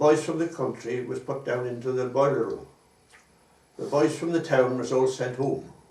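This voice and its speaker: A man's moderate pace and fairly even intonation come through audible room echo and noticeable background noise. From Wales, Pembrokeshire. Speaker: war veteran. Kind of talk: oral history interview. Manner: halting.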